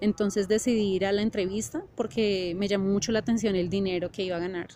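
Music plays in the background while a woman with a medium pitch talks at a fairly quick pace with fairly even intonation. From Colombia, Bogotá. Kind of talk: testimony. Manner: halting with frequent fillers.

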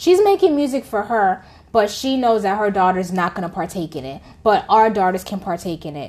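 A woman talks at a fairly quick clip with an animated tone and lively intonation. Her loudness swings widely against a quiet background. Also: medium pitch for a woman. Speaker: podcast co-host. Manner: animated, talkative.

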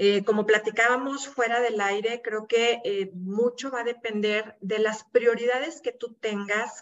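Talking fairly slowly, a woman with an unremarkable speaking voice shows ordinary pitch variation. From Mexico, Monterrey (Nuevo León). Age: 50s. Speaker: support group founder. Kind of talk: interview.

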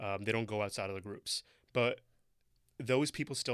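A man with a Toronto accent speaks at a very fast pace with a fairly low pitch and fairly even intonation. The recording is very clean, with a silent background. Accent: Canadian English, Toronto. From Toronto, Canada. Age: young. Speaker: city tech coordinator and entrepreneur. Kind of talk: casual interview chat.

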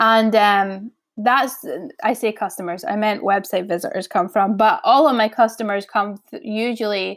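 Speaking at a fairly slow pace, a woman has an unremarkable speaking voice with a fairly high pitch. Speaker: podcast host, online business owner. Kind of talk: casual solo podcast talk. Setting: low-quality home recording.

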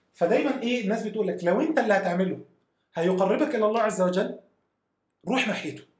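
A man with a high pitch talks at a fairly quick pace. Audible room echo is present. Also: ordinary pitch variation. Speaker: software engineering manager. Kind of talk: casual chat.

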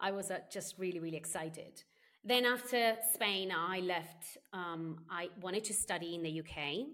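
Speaking in an Italian accent, a woman uses a medium pitch and a bright, sharp tone at a moderate pace with ordinary pitch variation. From Sardinia, Italy. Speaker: customer experience consultant and author. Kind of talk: interview.

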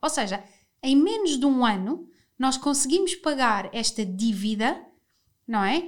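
A woman speaks at a high pitch in a very clean recording with a silent background. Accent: European Portuguese. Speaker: podcast host. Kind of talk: casual chat.

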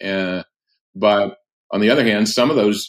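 A man speaks with a plain, everyday voice. His pitch sits fairly low. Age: 60s. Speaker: pastor and author. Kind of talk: casual interview. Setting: remote call.

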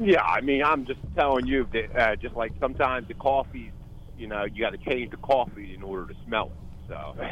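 Vocal fry runs through a man's speech at a fairly quick pace. His loudness swings a lot, while his pitch varies in an ordinary way. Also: medium pitch for a man. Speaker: caller. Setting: phone call.

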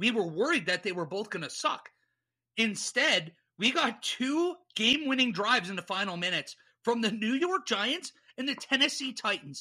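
A man speaks in a raised, projected voice with a bright, sharp tone and very wide pitch swings. His moderate pace comes through in a very clean recording with a silent background. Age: 30s. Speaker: sports podcast host. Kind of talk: casual chat.

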